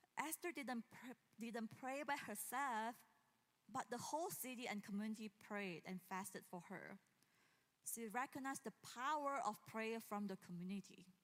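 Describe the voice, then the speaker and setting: A woman with a normal speaking voice talks at a moderate pace, fairly high in pitch and with lively intonation. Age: 40s. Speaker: pastor. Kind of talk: sermon. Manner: casual, with frequent fillers and laughs.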